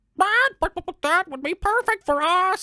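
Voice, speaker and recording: A put-on character voice, squeaky and extremely high in pitch, delivers its lines at a moderate pace. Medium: read story. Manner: stammering, nervous.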